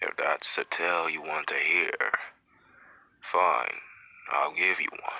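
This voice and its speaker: Using a put-on character voice, a man speaks at a fairly slow pace with long, frequent pauses. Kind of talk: fireside storytelling. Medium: machinima. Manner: slow, reflective.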